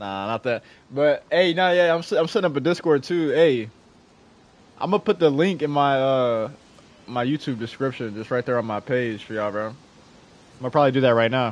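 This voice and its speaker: A man speaks at medium pitch and a fairly quick pace with lively intonation. His speech is broken by long, frequent pauses. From Jacksonville, Florida. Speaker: gaming streamer. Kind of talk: casual chat.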